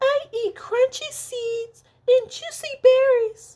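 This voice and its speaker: Squeaky and clearly put on, this character voice moves at a very slow pace. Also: woman, extremely high pitch for a woman. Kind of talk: bedtime story. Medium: read story. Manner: quiet.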